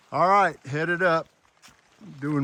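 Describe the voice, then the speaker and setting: A fairly slow American accent with ordinary pitch variation. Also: man. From Florida. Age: 60s. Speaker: hiking vlogger. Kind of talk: outdoor vlog narration. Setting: outdoors on a mountain trail. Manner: casual, halting with fillers.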